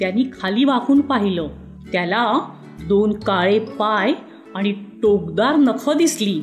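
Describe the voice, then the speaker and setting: Over music in the background, a woman talks with fairly high pitch, lively intonation and very even loudness. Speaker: voice over artist. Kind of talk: children's bedtime story narration.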